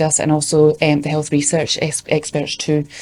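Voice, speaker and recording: Very fast and with a Scottish accent, a woman talks at a fairly low pitch in a dark, mellow tone. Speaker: youth engagement worker. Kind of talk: conference presentation.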